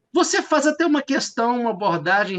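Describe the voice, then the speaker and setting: A man with a Minas Gerais accent against a quiet background. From Minas Gerais, Brazil. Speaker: law professor, thesis examiner. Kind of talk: academic thesis examination. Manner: hesitant, many fillers.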